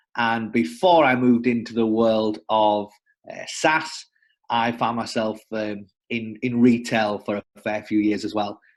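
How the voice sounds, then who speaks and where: A man with a northern English accent, medium pitch, ordinary pitch variation and a fairly slow pace. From northern England. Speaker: sales development representative. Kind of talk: casual interview. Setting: working from home.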